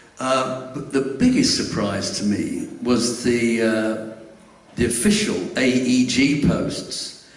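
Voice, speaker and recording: Delivered at a very slow pace with ordinary pitch variation and an English accent, the speech has audible room echo and noticeable background noise. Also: man, medium pitch for a man. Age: 70s. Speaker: fan club secretary. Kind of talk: live stage interview. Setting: stage with audience.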